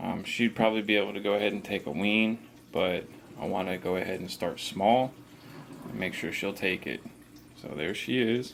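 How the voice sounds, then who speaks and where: A man speaks at a moderate pace with a fairly low pitch and ordinary pitch variation. His speech has long, frequent pauses. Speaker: reptile keeper, channel host. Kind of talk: tutorial. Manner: casual; talking low.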